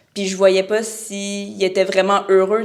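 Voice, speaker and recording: Speaking with a Quebec accent, a woman uses a medium pitch and a moderate pace. Her intonation is monotone and flat, with noticeable background noise. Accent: Québécois French. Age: 20s. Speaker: real estate broker. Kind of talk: podcast interview.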